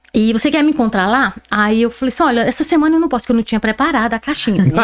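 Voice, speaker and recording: Over noticeable background noise, a woman speaks very fast in a fairly high voice with lively intonation. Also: very even loudness. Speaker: interview guest. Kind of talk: podcast interview. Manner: animated.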